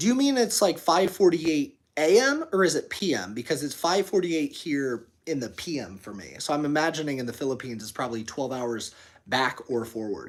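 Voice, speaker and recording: Big swings in loudness and very wide pitch swings mark this man's American-accented speech, captured in a very clean recording with a silent background. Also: fairly quick pace, hardly any pauses. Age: 30s. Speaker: fitness streamer and gym owner. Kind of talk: live stream chat reading. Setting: live stream. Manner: fast; animated.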